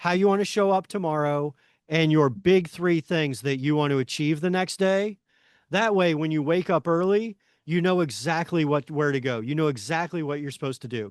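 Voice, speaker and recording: Energetic in tone, a man speaks at a fairly high pitch and moderate pace with ordinary pitch variation. The background is quiet, and the sound is dry and close with no echo. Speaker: workshop leader. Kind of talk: online workshop.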